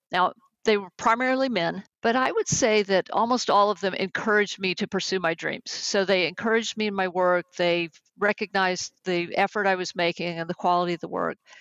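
A woman of medium pitch speaks at a moderate pace with a slight Texan accent and ordinary pitch variation. The sound is dry and close with no echo, and the background is quiet. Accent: slight Texas accent on certain words. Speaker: executive coach and management consultant. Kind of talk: interview.

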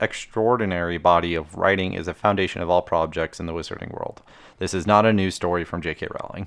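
Speaking at a very fast pace, a man with a very deep, low voice keeps his intonation fairly even. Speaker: podcast host. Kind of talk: casual chat. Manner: monotone.

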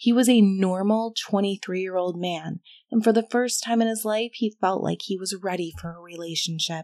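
A woman with a plain, everyday voice and medium pitch talks at a moderate pace with fairly even intonation and big swings in loudness, in a dry, close sound with no echo. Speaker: horror story narrator. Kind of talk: horror story narration, scripted. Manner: measured, ominous, hushed storytelling pace.

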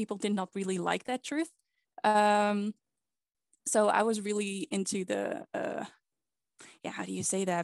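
A woman with a Dutch accent at medium pitch and moderate pace, over a quiet background. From Netherlands. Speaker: podcast guest, pagan practitioner. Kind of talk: casual chat.

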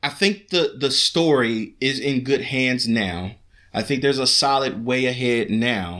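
On a very clean recording with a silent background, a man speaks at medium pitch and a fairly slow pace, his tone bright and sharp, his intonation lively and his loudness very even. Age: 30s. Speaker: podcast co-host, father. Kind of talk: casual chat.

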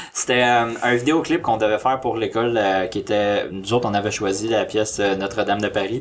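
A man talks fairly quickly at a medium pitch with fairly even intonation and hardly any pauses. Noticeable background noise is present. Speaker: amateur filmmaker. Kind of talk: casual chat.

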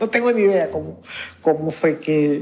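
A woman's very deep, low voice with lively intonation at a moderate pace over noticeable background noise. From Honduras, Garifuna community of the northern Caribbean coast. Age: 50s. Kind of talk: interview testimony. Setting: community center of a church.

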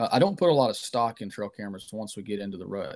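A man's unremarkable speaking voice, medium in pitch and fairly quick, over a quiet background. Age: 30s. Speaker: outdoor writer and whitetail hunter. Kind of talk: casual interview.

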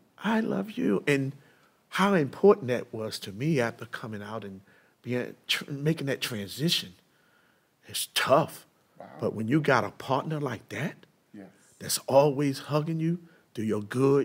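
With an American accent, a man talks at a moderate pace and medium pitch, his intonation lively, his loudness swinging widely, and his speech broken by long, frequent pauses. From US, East Baltimore. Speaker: minister and former prisoner. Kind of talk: testimony.

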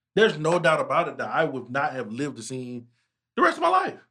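A fairly high-pitched man at a fairly quick pace, in an ordinary speaking voice. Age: 30s. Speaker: podcast host. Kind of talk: casual chat.

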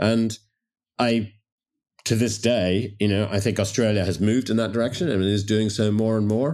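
In a slight Canadian accent, a man speaks at a moderate pace with a fairly low pitch, fairly even intonation and very even loudness in a very clean recording with a silent background. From Toronto, Canada. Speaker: wine merchant. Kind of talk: casual interview chat.

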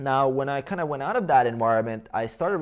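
A man with a Croatian accent and lively intonation. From Bosnia and Herzegovina. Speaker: fitness coach and YouTuber. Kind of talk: interview conversation.

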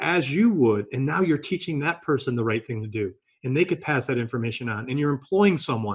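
A man talks at a fairly quick pace with a medium pitch and lively intonation. His voice is somewhat breathy. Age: 50s. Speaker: podcast host. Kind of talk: interview. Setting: video call.

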